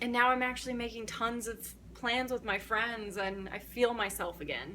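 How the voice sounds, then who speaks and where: A woman with an American accent speaks at a moderate pace in a fairly high, bright, sharp voice. Her intonation is monotone and flat. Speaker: book vlogger. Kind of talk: casual vlog monologue.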